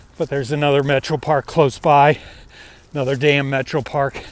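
A man with a fairly high pitch speaks fairly slowly while noticeable background noise runs underneath. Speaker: hiking vlogger. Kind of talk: vlog monologue. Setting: outdoors.

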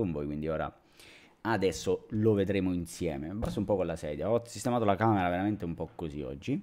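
Against a quiet background, a man with a Calabrian accent talks fairly quickly in a very deep, low pitch and a dark, mellow tone, with ordinary pitch variation. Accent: Calabrian accent, similar to Messina. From Reggio Calabria, southern Italy; southern Italy. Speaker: drone youtuber; tech youtuber. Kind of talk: live stream chat. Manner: casual, many fillers. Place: home room. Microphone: studio mic.

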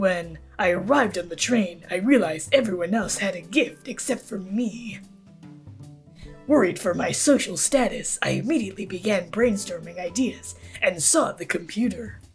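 Over clear music in the background, a female-sounding voice at middle pitch puts on a character voice at a moderate pace. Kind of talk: game character voice acting. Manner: aloof, curt, dismissive.

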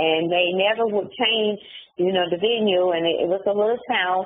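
A woman with an American accent speaks at a moderate pace with ordinary pitch variation over light background noise. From US South, Charlotte, North Carolina. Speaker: incarcerated woman telling her story; interviewee. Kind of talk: interview. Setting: phone call from prison. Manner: halting.

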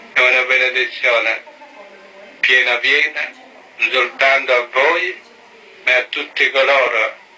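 The speech moves at a fairly slow pace with long, frequent pauses, against noticeable background noise. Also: man. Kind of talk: sermon and blessing.

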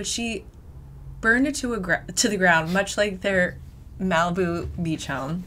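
A woman speaks in an animated tone at a medium pitch. Her intonation is lively. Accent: American. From US Northeast (New Hampshire). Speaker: podcast host. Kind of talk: casual chat.

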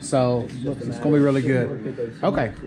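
Over clearly audible background noise, a man speaks at a moderate pace and a medium pitch with fairly even intonation.

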